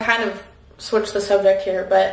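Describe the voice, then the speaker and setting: A woman's monotone, flat delivery, with audible room echo and light background noise. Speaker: vlogger. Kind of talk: casual vlog chat, Q&A while doing makeup. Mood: relaxed, cheerful. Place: bathroom. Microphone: camera far.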